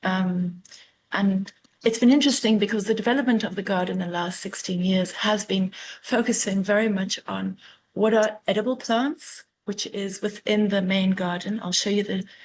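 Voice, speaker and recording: A woman speaks with a South African accent at a moderate pace. Her pitch is medium and her intonation fairly even. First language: Afrikaans. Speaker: master gardener. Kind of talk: illustrated talk. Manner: hesitant, with fillers.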